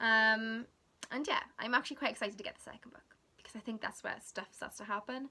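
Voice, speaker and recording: A woman's very fast voice with a South Wales accent, bright and sharp in tone, fairly even in intonation, with big swings in loudness. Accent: Welsh English (South Wales). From Wales, South Wales. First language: Welsh. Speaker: book vlogger. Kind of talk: casual vlog chat. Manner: casual, chatty with fillers.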